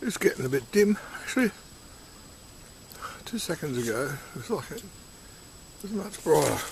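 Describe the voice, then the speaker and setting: A man speaks at a fairly quick pace in a high pitch, with very wide pitch swings and big swings in loudness. Long, frequent pauses break up his speech, and there is noticeable background noise. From Australia. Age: 60s. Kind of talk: casual talk to camera. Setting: outdoors.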